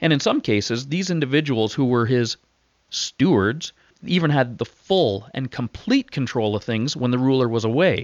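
At a moderate pace, a man with a Canadian accent and medium pitch speaks in an ordinary speaking voice. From Ontario, Canada. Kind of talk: interview. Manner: casual, frequent filler words.

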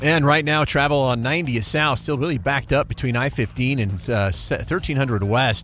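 A man's medium-pitched voice with ordinary pitch variation, against noticeable background noise. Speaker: radio traffic reporter. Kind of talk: live radio traffic report, rapid roundup of delays and crashes. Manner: brisk, clipped rundown of highways and interchanges; casual, conversational asides between road updates.

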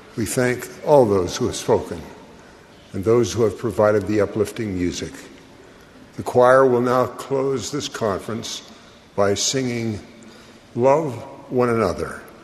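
Taking long, frequent pauses, a man talks at a medium pitch with ordinary pitch variation over noticeable background noise. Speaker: conference announcer. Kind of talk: announcing.

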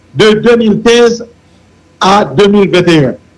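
This man has a high pitch for a man. His pitch variation is ordinary. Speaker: senator. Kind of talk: political talk show discussion.

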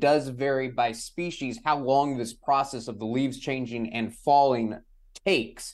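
A man speaks in a plain, everyday voice at a medium pitch, with an American accent. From San Antonio, Texas. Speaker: meteorologist, podcast co-host. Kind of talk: interview.

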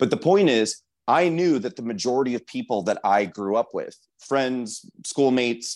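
A man at medium pitch against a quiet background. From US Midwest, rural Nebraska. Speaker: political activist, campaign founder. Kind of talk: interview. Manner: hesitant, many fillers and repeats.

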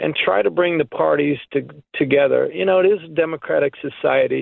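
A man's plain, everyday voice, a plain, everyday voice pitched fairly high, at a fairly slow pace. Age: 50s. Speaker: caller. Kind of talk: phone-in call.

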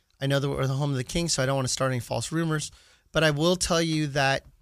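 A man speaks in an ordinary speaking voice, fairly high in pitch, with fairly even intonation. His pace is fairly quick, and the recording is very clean with a silent background. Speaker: radio host, sports card store owner. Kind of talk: sports radio chat. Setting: studio.

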